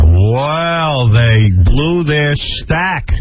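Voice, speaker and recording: Very wide pitch swings from a man, with music in the background. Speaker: radio show host. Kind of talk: casual radio talk.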